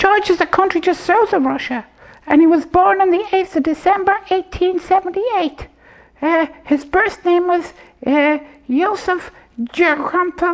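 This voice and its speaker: Someone speaks in a cartoonish character voice at an extremely high pitch. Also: moderate pace. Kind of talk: comedy puppet show.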